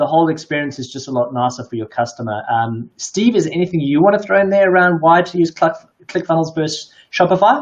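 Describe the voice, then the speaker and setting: Very fast speech comes in a South African accent. The intonation is lively. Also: man, fairly high pitch for a man. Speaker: live stream host. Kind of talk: casual chat.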